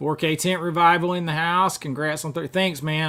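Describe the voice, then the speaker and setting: Here a man talks with a Southern US accent and a fairly high pitch. His pace is fairly quick, and his intonation is fairly even. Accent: Southern US accent, kept. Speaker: YouTuber, film collector. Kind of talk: live stream chat. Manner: casual, chatty.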